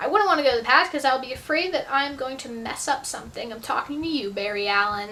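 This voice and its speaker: Against noticeable background noise, a woman speaks very fast in a raised, projected voice. Her high pitch moves with lively intonation. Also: hardly any pauses, big swings in loudness. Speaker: YouTuber answering viewer questions. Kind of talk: casual Q&A vlog. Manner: animated.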